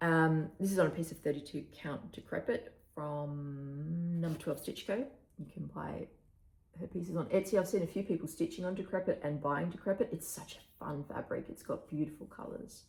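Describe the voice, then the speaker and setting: Somewhat breathy, a woman with an Australian accent talks at a moderate pace. Her pitch is fairly low, with ordinary variation. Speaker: cross-stitch vlogger. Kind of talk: casual chat. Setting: home recording, early morning. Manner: casual with fillers.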